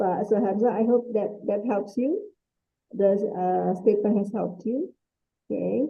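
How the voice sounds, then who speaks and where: With an Indonesian accent, a woman talks at a fairly high pitch. Her intonation stays fairly even. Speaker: webinar moderator. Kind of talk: webinar moderation.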